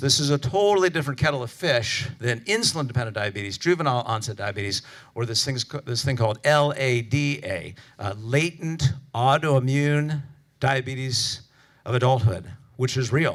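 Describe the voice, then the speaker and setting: In a very clean recording with a silent background, a man with an American accent talks fairly quickly at medium pitch with lively intonation. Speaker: physician lecturer. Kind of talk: conference lecture. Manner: fast; casual, animated.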